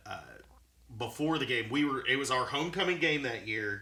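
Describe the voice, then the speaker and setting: A man speaks with a Tennessee accent and a bright, sharp tone. His pitch varies in an ordinary way, and the room adds an audible echo. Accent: Southern US (Tennessee). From Chattanooga, Tennessee, US South. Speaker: podcast guest. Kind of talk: casual chat.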